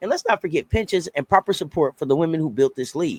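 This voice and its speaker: With an energetic tone and high pitch that swings very widely, a man speaks in a dry, close sound with no echo. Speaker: sports podcast host. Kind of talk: casual sports commentary to camera. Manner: energetic, conversational.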